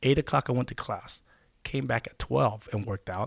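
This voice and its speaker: A man with an American accent and vocal fry at a moderate pace, on a very clean recording with a silent background and a dry, close sound with no echo. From Texas Gulf Coast. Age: 40s. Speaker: former pro football player. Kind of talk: interview. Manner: halting.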